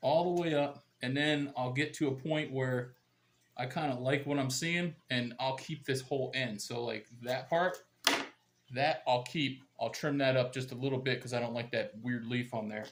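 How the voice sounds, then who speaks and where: Fairly even intonation and a moderate pace mark this unremarkable speaking voice. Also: man, medium pitch for a man. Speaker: gardening YouTuber. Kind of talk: tutorial. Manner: casual, conversational.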